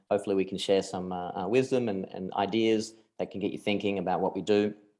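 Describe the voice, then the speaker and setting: Against a quiet background, a man with an Australian accent talks very fast in a dark, mellow, fairly low voice with monotone, flat intonation. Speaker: crypto investment firm partner. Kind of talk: webinar presentation.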